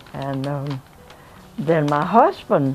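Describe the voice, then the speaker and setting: Over noticeable background noise, a woman speaks in a South Carolina accent. Her pitch is very deep and low, and her pace is very slow. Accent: Southern US (South Carolina). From South Carolina, USA. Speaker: retired teacher, minister's wife. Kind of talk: oral history interview answer.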